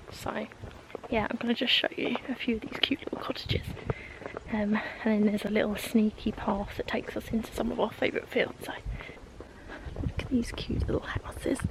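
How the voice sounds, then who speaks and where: Someone whispers at a fairly quick pace, with long, frequent pauses. Background noise is noticeable. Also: woman. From south-east England, East Sussex. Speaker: lifestyle vlogger. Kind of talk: casual vlog. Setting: outdoors. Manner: soft-spoken.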